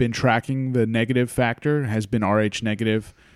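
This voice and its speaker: With an American accent, a man using an ordinary speaking voice talks at a moderate pace and fairly even intonation. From US Northeast, Hudson Valley, New York. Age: 30s. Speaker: podcast host. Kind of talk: casual chat.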